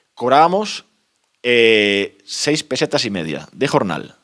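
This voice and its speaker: The pitch swings very widely at a fairly slow pace. The background stays quiet. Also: man. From Spain, León province (El Bierzo area); León province, Spain. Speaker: author, rural postman. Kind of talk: book presentation talk. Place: meeting room.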